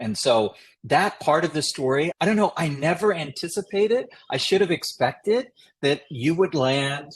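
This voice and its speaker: An ordinary speaking voice from a man with an American accent, fairly high-pitched, with lively intonation at a moderate pace. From US South, Chattanooga, Tennessee. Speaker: policy consultant, former presidential advisor. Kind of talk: podcast interview conversation.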